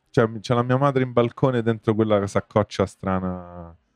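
A man with an unremarkable speaking voice talks at a moderate pace with a fairly low pitch. The sound is dry and close, with no echo. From Rome. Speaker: musician. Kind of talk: casual chat.

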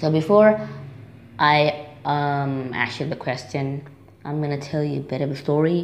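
Against noticeable background noise, a woman with a very deep, low pitch speaks at a moderate pace with fairly even intonation and long, frequent pauses. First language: not English. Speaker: listener leaving a voicemail. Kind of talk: voicemail message. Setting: phone voicemail.

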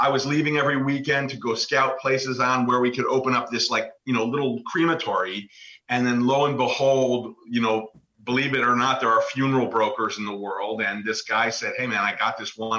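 The voice has a bright, sharp tone and a slight New York accent. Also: man. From New York, Westchester County. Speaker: author and funeral home owner. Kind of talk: interview.

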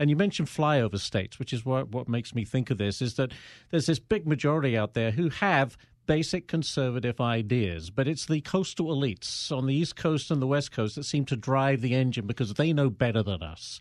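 An unremarkable speaking voice from a man at medium pitch, with an American accent and lively intonation. He talks at a fairly quick pace on a very clean recording with a silent background. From outside the US. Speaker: podcast host and journalist. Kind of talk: casual interview. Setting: studio.

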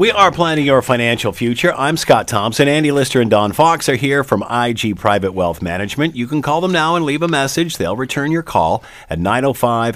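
With noticeable background noise, a man speaks at a moderate pace using lively intonation. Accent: Canadian. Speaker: radio host. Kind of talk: radio talk show. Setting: studio.

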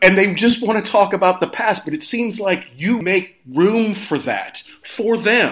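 A man speaks at a fairly slow pace with hardly any pauses. His high voice shows ordinary pitch variation. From Kentucky. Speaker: podcast host. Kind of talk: interview. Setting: studio.

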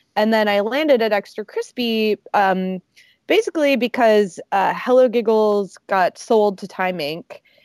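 In a normal speaking voice, a woman with a fairly high pitch and ordinary pitch variation talks at a fairly slow pace, the sound dry and close with no echo on a very clean recording with a silent background. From US South, Alabama. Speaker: journalist and editor. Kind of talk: casual interview chat.

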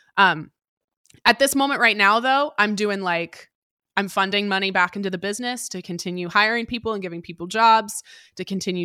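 A woman with an American accent talks at a very fast pace, her medium-pitched voice bright and sharp, with ordinary pitch variation. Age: 20s. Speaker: personal finance podcast host. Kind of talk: interview conversation.

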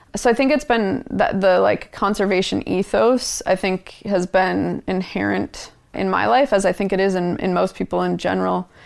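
With an American accent, a woman talks at a moderate pace with hardly any pauses. The recording is very clean, with a silent background. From Minnesota, US Midwest. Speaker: environmental campaign director. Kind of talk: interview conversation. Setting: in-person recording.

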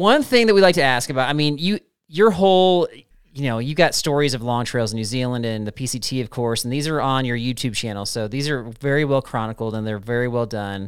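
A man with an ordinary speaking voice at medium pitch, fairly quick and with lively intonation, in a very clean recording with a silent background. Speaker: podcast co-host. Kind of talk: casual chat.

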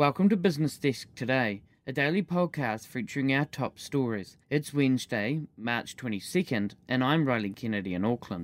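A normal speaking voice, with lively intonation at a moderate pace and hardly any pauses. The very clean recording has a silent background and a dry, close sound with no echo. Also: man, medium pitch for a man. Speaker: podcast news presenter. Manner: formal, even-paced and measured; clear and neutral, with crisp delivery of numbers.

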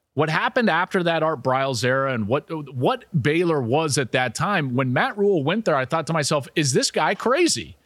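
At a moderate pace with hardly any pauses, a man in an American accent speaks in a fairly high pitch with very wide pitch swings and very even loudness, recorded very cleanly against a silent background with a dry, close sound and no echo. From Colorado, US. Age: 40s. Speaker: college football analyst and podcast host. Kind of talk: casual sports analysis monologue.

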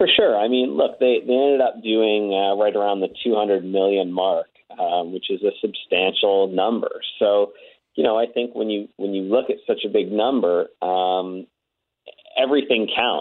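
An ordinary speaking voice moves at a moderate pace, its pitch varying in an ordinary way. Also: man, fairly low pitch for a man. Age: 30s. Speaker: record store chain executive. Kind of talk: phone interview. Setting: phone call.

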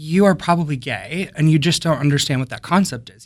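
Here is a plain, everyday voice moving at a moderate pace with ordinary pitch variation. The recording is very clean and the background silent. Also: man. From Wisconsin, US Midwest. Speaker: theater sound designer and composer. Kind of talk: casual interview chat. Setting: studio.

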